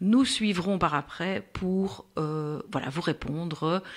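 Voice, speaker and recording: The recording is very clean, with a silent background. A woman speaks with a Brussels accent. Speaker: podcast host, patient expert for diabetes. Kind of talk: casual interview. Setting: recorded podcast.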